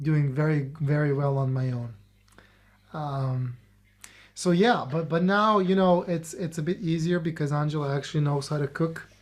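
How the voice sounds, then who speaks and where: A man talks at a moderate pace in a fairly high, somewhat breathy voice with fairly even intonation. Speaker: podcast co-host. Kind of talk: casual chat. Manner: halting, many repetitions.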